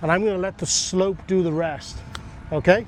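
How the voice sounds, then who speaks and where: A man with an English accent speaks at a fairly quick pace in a high voice. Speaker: golf coach. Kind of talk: golf instruction demo.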